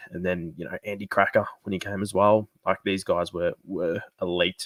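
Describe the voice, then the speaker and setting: This man has a very deep, low voice and an Australian accent, delivered in a monotone, flat way at a moderate pace. The recording is very clean with a silent background and a dry, close sound with no echo. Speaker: sports fan streamer. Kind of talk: live stream fan discussion. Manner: quieter than usual; casual, filler-heavy.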